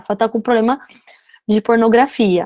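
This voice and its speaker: A woman speaks fairly quickly at a fairly high pitch. The sound is dry and close, with no echo. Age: 30s. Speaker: entrepreneur and social media creator. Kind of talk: casual chat.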